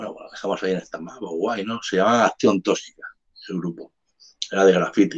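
This man talks at a very fast pace, with big swings in loudness. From Barcelona, Spain (born in Andalusia). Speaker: hip hop artist. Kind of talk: casual interview chat. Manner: animated.

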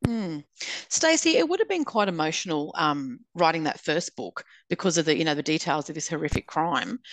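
Speaking with an Australian accent, a woman uses a fairly low pitch and ordinary pitch variation at a fairly quick pace. The sound is dry and close, without echo. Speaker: podcast host and author. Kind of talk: casual interview chat.

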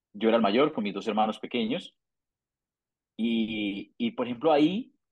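This man speaks at a medium pitch and a moderate pace. His pitch varies in an ordinary way. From Colombia, Santander. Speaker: migrant, accountant and arepa business owner. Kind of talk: interview, personal story. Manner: halting, frequent word repetitions.

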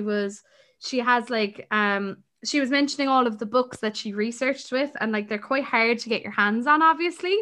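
A woman's high-pitched, bright, sharp voice with an Irish accent and ordinary pitch variation, against a quiet background. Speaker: podcast co-host. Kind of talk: casual chat.

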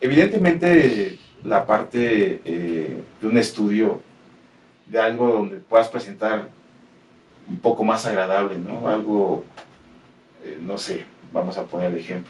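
A man with a Mexican accent and medium pitch speaks at a very slow pace, using lively intonation, big swings in loudness and long, frequent pauses. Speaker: metal podcast producer. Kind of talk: interview. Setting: studio.

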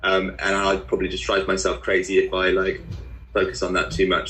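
A man speaks with a southern English accent. His pace is moderate. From southern England (Guildford, Surrey). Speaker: musician. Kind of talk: interview.

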